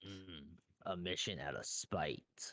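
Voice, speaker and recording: A put-on character voice from a man sits at a very deep, low pitch. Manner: slow, heavy.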